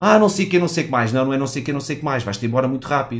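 An animated man's voice with very wide pitch swings. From Portugal. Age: 30s. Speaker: gaming streamer. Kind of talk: live stream commentary. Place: home room. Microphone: headset.

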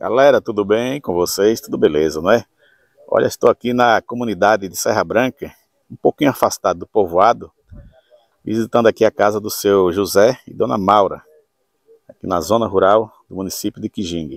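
A man with a fairly low voice speaks at a moderate pace, with ordinary pitch variation, big swings in loudness and long, frequent pauses. The sound is dry with no echo against a quiet background. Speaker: channel host visiting a farm. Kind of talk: casual vlog tour narration. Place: garden. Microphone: phone near.

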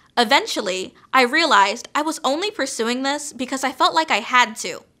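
Against a quiet background, a woman projects a raised, high-pitched voice with a bright, sharp tone. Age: 20s. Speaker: PhD student and commencement speaker; speaker. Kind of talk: commencement speech. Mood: earnest, encouraging. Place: studio. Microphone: podium.

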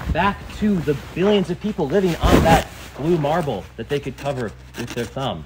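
Noticeable background noise runs behind a man speaking at a moderate pace. His pitch is fairly high and his intonation lively. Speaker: priest preaching to camp. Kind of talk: sermon to children at a church camp.

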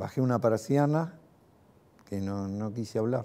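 Speaking in a Rioplatense accent at a very slow pace, a man with a fairly low pitch and a dark, mellow tone uses lively intonation. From Argentina, Lanús (Greater Buenos Aires); Buenos Aires, Argentina. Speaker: war veteran. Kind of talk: testimony. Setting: recorded interview. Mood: reflective, calm, some animation. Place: home room.

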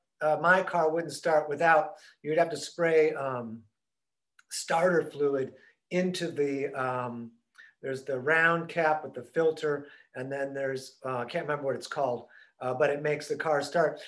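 A man with an American accent, fairly high pitch, fairly even intonation, and a moderate pace. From US Midwest. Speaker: yoga instructor. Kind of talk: guided yoga class. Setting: online video class. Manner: casual. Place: home room. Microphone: webcam.

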